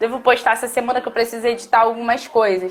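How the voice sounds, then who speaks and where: A woman speaks at a fairly quick pace with a high pitch. Noticeable background noise runs underneath. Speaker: teacher. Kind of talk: live stream talk. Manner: fast.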